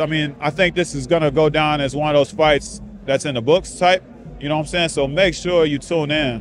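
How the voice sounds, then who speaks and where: A man talks with fairly even intonation. The sound is dry with no echo, and faint music plays in the background. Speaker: interviewee. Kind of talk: interview answer. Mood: relaxed, confident. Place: stadium. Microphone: handheld.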